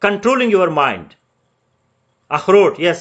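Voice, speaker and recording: A man with a Pakistani accent. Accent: Pakistani (Pashtun) English. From Pakistan, Pashtun. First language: Pashto. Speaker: civil service exam tutor. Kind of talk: online lecture. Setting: live Facebook virtual class. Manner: code-switching English and Urdu.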